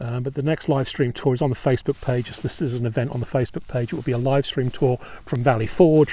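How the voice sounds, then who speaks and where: This voice has a dark, mellow tone and a somewhat breathy quality, with an English accent. The pace is very fast and the intonation fairly even. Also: man, medium pitch for a man. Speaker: battlefield tour guide. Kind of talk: live-streamed outdoor tour talk. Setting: outdoors on a battlefield. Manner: halting, many ums. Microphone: new microphone.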